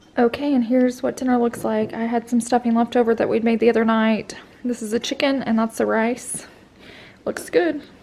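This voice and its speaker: A woman talks at a fairly quick pace with a fairly high pitch. Her intonation is monotone and flat, with noticeable background noise. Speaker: vlogger, stay-at-home mom. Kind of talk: casual vlog chat.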